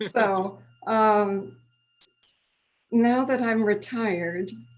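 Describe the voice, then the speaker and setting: The speaker here is a woman. She talks with an American accent. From Switzerland, Lausanne (French-speaking), American parents. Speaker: retired French professor. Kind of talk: casual interview. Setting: video call.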